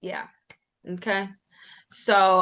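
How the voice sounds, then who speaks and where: With a bright, sharp tone and a medium pitch, a woman speaks at a very slow pace. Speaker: meeting leader. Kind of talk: online team meeting. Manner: deadpan.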